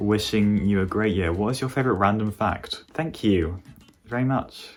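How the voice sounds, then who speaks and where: With a British accent, a man speaks at a fairly low pitch with lively intonation. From Britain. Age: 18. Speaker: gaming YouTuber. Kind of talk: casual Q&A chat.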